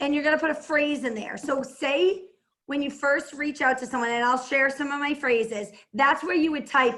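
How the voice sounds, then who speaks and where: A woman speaks in a Boston accent with a high pitch. Her tone is bright and sharp, and her intonation stays fairly even. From Massachusetts, Boston area (Plymouth). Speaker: entrepreneur and network marketer. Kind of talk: team call talk and how-to. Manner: fast.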